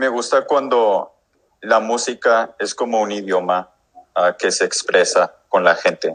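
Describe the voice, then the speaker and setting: A man talks at a very slow pace. He has an English accent. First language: English (speaking Spanish). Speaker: musician. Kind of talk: interview. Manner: halting.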